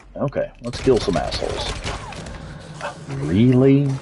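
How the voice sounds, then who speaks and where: A man with a strong Texas accent, amid noticeable background noise. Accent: thick Texas. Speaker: video game streamer. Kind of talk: live gameplay commentary. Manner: animated.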